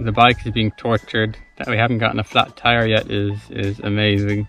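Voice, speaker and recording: A man speaks at a fairly low pitch with fairly even intonation. The sound is dry with no echo, and faint music plays in the background. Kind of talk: casual vlog chat. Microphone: phone near.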